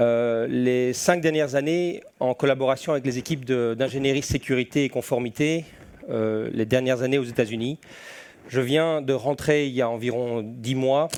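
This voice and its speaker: In a Belgian accent, a man speaks at a medium pitch with fairly even intonation. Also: moderate pace. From Belgium. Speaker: security and compliance specialist. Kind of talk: conference presentation.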